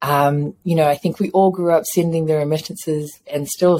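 With a New Zealand accent, a woman speaks at a very deep, low pitch and a moderate pace. Her tone is dark and mellow, and her intonation is fairly even. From New Zealand, Samoan family. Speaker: chocolate entrepreneur and dance teacher. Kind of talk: casual interview.

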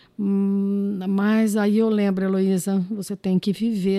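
The voice has a dark, mellow tone and fairly even intonation, moving at a fairly slow pace. The recording is very clean with a silent background, and the sound is dry and close with no echo. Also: woman. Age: 50s. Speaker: anthropologist. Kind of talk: podcast interview.

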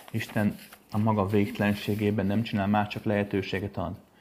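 Over noticeable background noise, a man speaks at a moderate pace with a fairly low pitch. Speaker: spiritual teacher. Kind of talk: lecture. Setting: home recording. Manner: casual.

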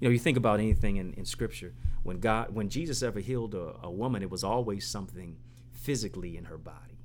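A man with an American accent speaks at a very fast pace in a fairly low voice with vocal fry. His pitch swings very widely. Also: big swings in loudness. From Detroit, east side. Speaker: motivational speaker and author. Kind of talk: interview. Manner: animated.

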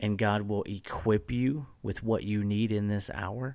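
Speaking at a fairly slow pace, a man with a fairly low pitch keeps his intonation fairly even in a very clean recording with a silent background. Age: 30s. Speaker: youth pastor podcast host. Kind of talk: casual chat. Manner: halting.

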